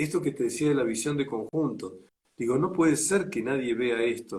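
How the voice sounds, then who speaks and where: A man's fairly quick delivery, pitched fairly high, in an ordinary speaking voice with ordinary pitch variation. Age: 60s. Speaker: enneagram teacher. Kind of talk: interview. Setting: livestream.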